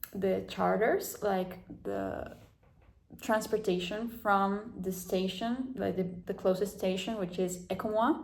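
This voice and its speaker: Very slowly, a woman of medium pitch speaks with vocal fry and fairly even intonation, with audible room echo around her voice. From South America. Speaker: vlogger. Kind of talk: casual vlog talk. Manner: halting, many fillers.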